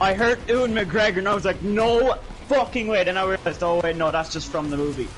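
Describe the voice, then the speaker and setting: Amid noticeable background noise, a man speaks very fast at a high pitch with ordinary pitch variation. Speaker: gaming streamer. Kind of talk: casual chat. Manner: animated.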